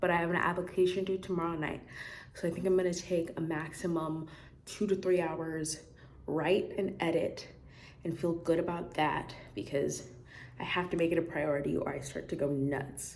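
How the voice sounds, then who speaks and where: With audible room echo, a woman speaks at a moderate pace in a fairly low pitch with fairly even intonation. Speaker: student vlogger. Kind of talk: casual vlog talk. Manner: rambling, self-correcting.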